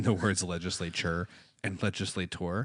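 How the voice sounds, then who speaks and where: With an American accent, a man speaks at a fairly quick pace in a very deep, low pitch and a monotone, flat intonation against a quiet background. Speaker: podcast co-host. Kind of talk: casual chat.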